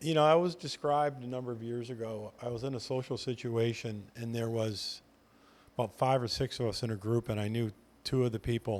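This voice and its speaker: The recording is very clean, with a silent background. A man with a plain, everyday voice speaks at a medium pitch and a fairly quick pace. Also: ordinary pitch variation. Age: 60s. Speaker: veteran real estate agent. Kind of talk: casual chat.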